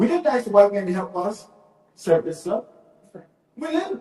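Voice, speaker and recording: A man's voice with very wide pitch swings. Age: 60s. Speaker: minister. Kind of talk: speech to a gathering. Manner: repetitive, stammering restarts.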